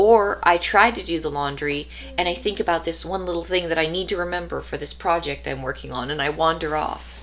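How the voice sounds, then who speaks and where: Speaking at a fairly quick pace with hardly any pauses, a woman is heard over noticeable background noise. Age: 30s. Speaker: vlogger. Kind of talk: personal monologue.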